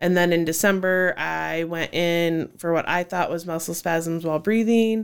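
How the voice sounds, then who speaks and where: A woman with an American accent talks in a plain, everyday voice at a fairly low pitch and moderate pace. Her intonation is fairly even on a very clean recording with a silent background. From Cedar Falls, Iowa. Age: 30s. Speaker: children's ministry worker. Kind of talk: casual interview.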